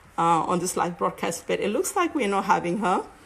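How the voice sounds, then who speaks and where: A woman talks at a fairly quick pace. She has a strong Cameroonian accent. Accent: heavy African (Cameroonian). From Cameroon, English-speaking side. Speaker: network marketer and live-stream host. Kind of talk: live stream monologue. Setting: live online broadcast. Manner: halting, many fillers.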